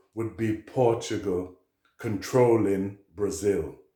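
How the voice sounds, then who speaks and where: A man with a Jamaican accent, a dark, mellow tone, medium pitch, a somewhat breathy voice, ordinary pitch variation and a very slow pace. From Liverpool, England, of Jamaican parents. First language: Jamaican Patois. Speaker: poet. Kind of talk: talk to camera.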